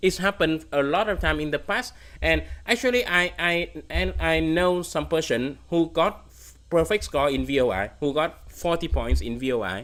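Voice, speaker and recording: A man speaks with a Vietnamese accent at a fairly high pitch. His intonation is lively and his pace moderate. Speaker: competitive programming streamer. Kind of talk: livestream Q&A. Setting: livestream. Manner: halting.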